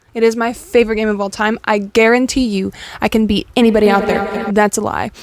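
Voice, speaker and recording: Fairly quick and monotone, a woman with a fairly high pitch speaks over noticeable background noise. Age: 20s. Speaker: vlogger. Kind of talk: casual vlog monologue. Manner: fast.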